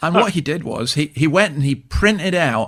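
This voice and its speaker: A man with a Scottish accent and lively intonation, on a very clean recording with a silent background. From Scotland. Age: 60s. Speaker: church minister and author. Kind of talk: radio interview.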